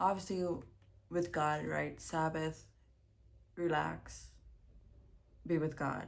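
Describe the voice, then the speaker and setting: The speech is mumbled at a very slow pace with long, frequent pauses. Audible room echo is present. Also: woman. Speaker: vlogger. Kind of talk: casual vlog monologue. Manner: mumbling.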